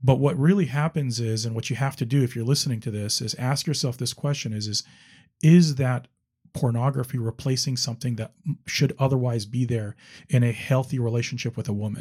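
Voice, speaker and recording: A man speaks at a fairly quick pace, somewhat breathy, at a medium pitch with ordinary pitch variation. The recording is very clean, the background silent. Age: 50s. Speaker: attorney sharing recovery story. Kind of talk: interview testimony.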